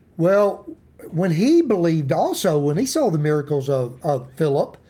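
This man has a Tennessee accent and a dark, mellow tone at a high pitch. His intonation is lively and his pace moderate. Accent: Southern US (Tennessee). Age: 50s. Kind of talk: devotional Bible teaching. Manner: casual, folksy.

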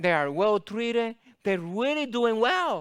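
On a very clean recording with a silent background, a man uses a raised, projected voice with a high pitch and a bright, sharp tone. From Latin America. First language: Spanish. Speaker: guest preacher. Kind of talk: sermon.

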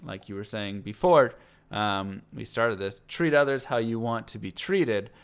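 In a very clean recording with a silent background, a man with an ordinary speaking voice speaks at a moderate pace and fairly low pitch, with lively intonation and big swings in loudness. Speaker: podcast host. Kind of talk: casual chat.

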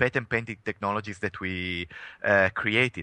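A man with an Italian accent speaks at a moderate pace in a bright, sharp tone, the sound dry and close with no echo against a quiet background. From Italy. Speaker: tech company CEO. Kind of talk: interview. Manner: halting, many fillers.

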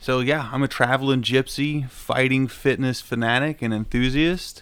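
A man's medium-pitched voice in an Appalachian accent, at a moderate pace. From Southern Ohio / Eastern Kentucky, Appalachia. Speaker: podcast co-host and amateur fighter. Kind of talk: casual chat.

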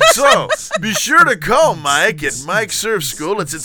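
Over noticeable background noise, a man speaks in a raised, projected voice at a high pitch. He talks at a fairly slow pace, his pitch swinging very widely. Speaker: podcast host. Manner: announcer-style ad read.

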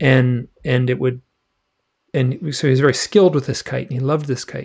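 A man speaks with an American accent at a medium pitch. His voice is somewhat breathy. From Michigan. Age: 60s. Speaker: author. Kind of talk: casual interview. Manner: halting, many repeated words.

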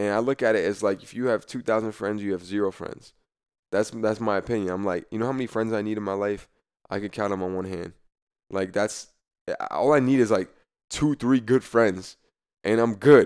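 A man has a plain, everyday voice at a fairly low pitch with ordinary pitch variation. He talks at a fairly quick pace in a very clean recording with a silent background. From New Jersey, US. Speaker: former college football player. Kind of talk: interview conversation. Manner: casual, filler-heavy with repetitions.

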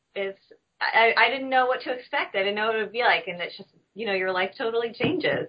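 A woman with an American accent talks at a very fast pace. Her pitch is fairly high, with ordinary pitch variation. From US South, north Alabama. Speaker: book editor. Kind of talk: interview. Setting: video call.

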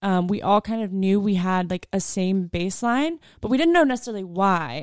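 A woman with a plain, everyday voice speaks with an American accent at a moderate pace and with lively intonation, in a dry, close sound with no echo against a quiet background. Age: young (first-year college student). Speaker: college student. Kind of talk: casual chat.

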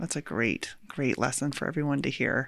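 A fairly quick woman's voice with vocal fry and an American accent, on a very clean recording with a silent background. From rural US. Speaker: podcast host. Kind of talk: interview conversation. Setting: in person.

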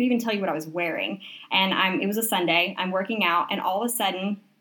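A woman at medium pitch and very fast pace, with noticeable background noise. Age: 20s. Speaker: fitness and wellness coach. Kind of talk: casual chat. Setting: in a tent in a guest bedroom.

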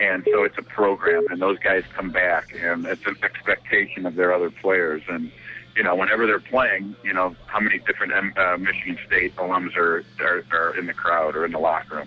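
A man talking at a fairly quick pace with hardly any pauses, over noticeable background noise. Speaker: high school basketball coach. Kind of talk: interview, sports discussion.

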